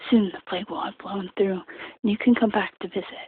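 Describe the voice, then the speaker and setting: The voice is whispering and soft-spoken at a moderate pace. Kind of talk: soft-spoken audiobook-style reading for sleep. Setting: casual late-night bedroom-style recording. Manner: soft-spoken, quiet whisper.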